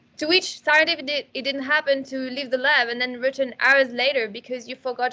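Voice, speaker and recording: Using a raised, projected voice, a woman talks fairly quickly with hardly any pauses, in a high pitch and a bright, sharp tone. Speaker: neuroscientist presenting a product webinar. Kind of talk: webinar presentation.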